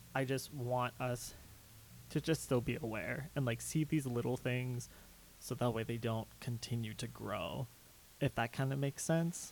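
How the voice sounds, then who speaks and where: A man speaks at a moderate pace and medium pitch, his voice somewhat breathy. The intonation stays fairly even, and the recording is very clean with a silent background. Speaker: LGBT and mental health activist. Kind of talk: casual chat.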